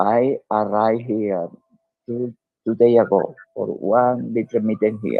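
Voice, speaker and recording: A man's very slow, fairly low-pitched speech in a Spanish accent. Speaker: diplomat and author. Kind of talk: interview. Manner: halting.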